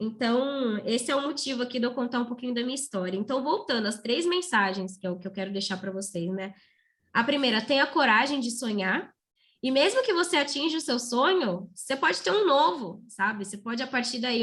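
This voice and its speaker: The woman's voice is high-pitched and her pace fairly quick. The recording is very clean, with a silent background. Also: lively intonation. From Brazil, São Paulo state (Santa Isabel). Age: 20s. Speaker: motivational speaker, former public school student. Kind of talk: motivational talk to students.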